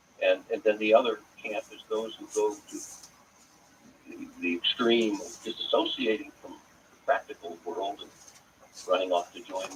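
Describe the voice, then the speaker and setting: Noticeable background noise accompanies this man as he speaks at a moderate pace with an American accent. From US, Pittsburgh, Pennsylvania. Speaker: author and cantor. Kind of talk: interview. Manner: halting.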